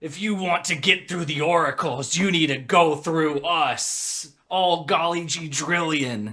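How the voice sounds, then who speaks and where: A man puts on a character voice with a fairly high pitch. He moves at a fairly slow pace yet hardly pauses. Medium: actual play. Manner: folksy, earnest.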